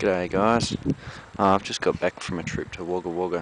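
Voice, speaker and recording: A man's very deep, low voice at a moderate pace, dry with no echo, amid noticeable background noise. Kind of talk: casual vlog chat. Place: garden. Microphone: phone near.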